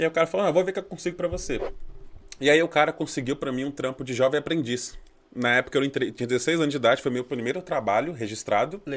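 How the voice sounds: A man speaks very fast on a very clean recording with a silent background. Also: ordinary pitch variation.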